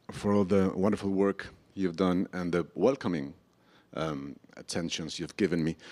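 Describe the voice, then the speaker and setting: The speaker has a Spanish accent and talks at a moderate pace. Pitch moves up and down in an ordinary way. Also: man, very deep, low pitch for a man. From Colombia. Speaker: novelist. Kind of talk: public conversation. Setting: stage with audience.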